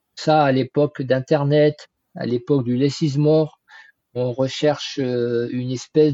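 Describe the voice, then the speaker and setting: Speaking at a very slow pace, a man with a fairly high voice keeps his intonation fairly even. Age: 60s. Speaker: trend forecasting consultant. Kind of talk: interview.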